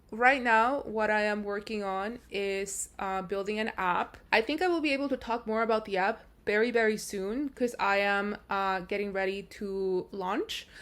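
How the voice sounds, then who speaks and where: With a non-native accent, a woman with a fairly high pitch speaks at a moderate pace with ordinary pitch variation and hardly any pauses, in a very clean recording with a silent background. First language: not English. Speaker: AI research engineer, vlogger. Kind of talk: casual vlog narration.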